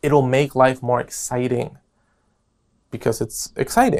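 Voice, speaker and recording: An animated man's voice on a very clean recording with a silent background. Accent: American. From New York. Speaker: podcast host. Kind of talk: casual podcast monologue.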